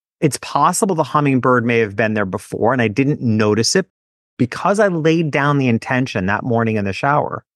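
Against a quiet background, a man with an American accent talks at a moderate pace with lively intonation in an ordinary speaking voice, the sound dry and close with no echo. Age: 50s. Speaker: business author and podcaster. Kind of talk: casual interview chat.

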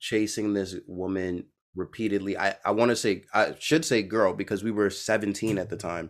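A man with an American accent and fairly low pitch, an ordinary speaking voice, a moderate pace and fairly even intonation, on a very clean recording with a silent background. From Brooklyn, New York. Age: 30s. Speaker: podcast host. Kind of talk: casual interview.

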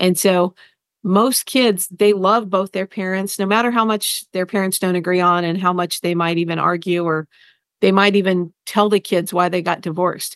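An ordinary speaking voice from a woman at medium pitch and moderate pace, fairly even intonation, dry and close with no echo over a quiet background. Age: 50s. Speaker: family therapist and author. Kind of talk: interview.

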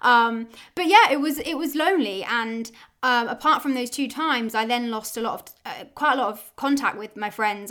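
A woman speaks at a fairly quick pace with a southern English accent. Her tone is bright and sharp, and the recording is very clean with a silent background. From Oxford, England. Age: 20s. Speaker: podcast host, business owner. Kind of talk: solo personal monologue.

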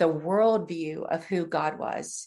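A woman's fairly low voice with a US Midwestern accent. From Ohio, near Columbus. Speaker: nonprofit ministry founder. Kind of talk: interview.

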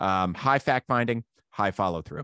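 In a dry, close recording with no echo and a quiet background, a man with a Midwestern American accent speaks fairly slowly, his pitch swinging very widely. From Ohio, US. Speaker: marketing consultant. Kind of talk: casual interview.

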